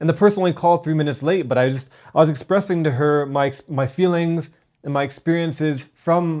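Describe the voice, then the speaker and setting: A man with a Canadian accent talks at a moderate pace in a fairly high, dark, mellow voice with ordinary pitch variation. The recording is very clean against a silent background. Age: 30s. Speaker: self-improvement vlogger. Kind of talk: personal vlog monologue. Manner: halting, many repeated words.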